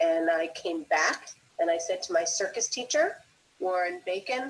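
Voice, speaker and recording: With an American accent, a woman with an unremarkable speaking voice talks at a moderate pace with lively intonation. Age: 60s. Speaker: circus school founder and teacher. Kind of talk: live stream interview. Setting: live stream.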